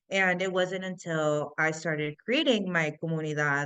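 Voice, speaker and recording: Speaking at a fairly slow pace, a woman with an American accent keeps her intonation fairly even. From US Midwest, Chicago. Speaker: tech entrepreneur. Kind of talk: interview.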